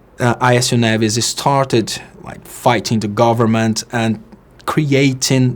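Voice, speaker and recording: A man with a Portuguese accent at a medium pitch, very slow pace and fairly even intonation, over noticeable background noise. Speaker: political commentator. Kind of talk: political monologue. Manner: halting.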